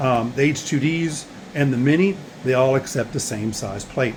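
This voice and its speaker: A man at a moderate pace, with ordinary pitch variation and noticeable background noise. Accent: Southern US. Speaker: small business owner, 3D print farm. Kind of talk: video tour. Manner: casual, halting with fillers.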